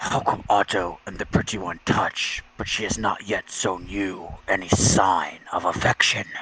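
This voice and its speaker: A man's guttural, put-on character voice with a fairly low pitch at a moderate pace. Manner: jealous, needling.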